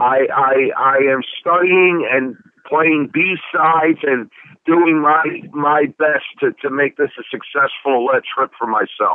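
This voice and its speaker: In a Philadelphia accent, a man with a fairly high pitch talks at a very slow pace, with fairly even intonation and very even loudness. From South Philadelphia. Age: 40s. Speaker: DJ. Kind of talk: interview. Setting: phone call.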